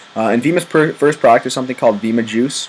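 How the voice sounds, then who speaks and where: Noticeable background noise fills the recording. Over it, a man speaks very fast. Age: 20s. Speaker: college student and network marketing recruiter. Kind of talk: sales pitch. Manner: casual, filler-heavy.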